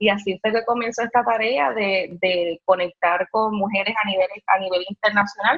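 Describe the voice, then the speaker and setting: A plain, everyday voice from a woman at medium pitch, with ordinary pitch variation, very even loudness, a moderate pace and hardly any pauses. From Puerto Rico, raised partly in mainland US. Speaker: cannabis business entrepreneur. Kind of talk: interview. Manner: frequent fillers and repetitions.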